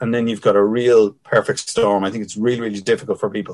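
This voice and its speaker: A man speaks at a medium pitch with a Dublin accent. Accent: Dublin Irish. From Ireland, Dublin (Finglas). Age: 50s. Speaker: ex army captain, security analyst and lecturer. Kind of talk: interview. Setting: remote call over wifi.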